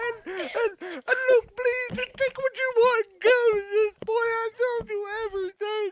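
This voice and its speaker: In a put-on character voice, the speaker uses an extremely high pitch at a fairly slow pace with hardly any pauses. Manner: desperate, rambling.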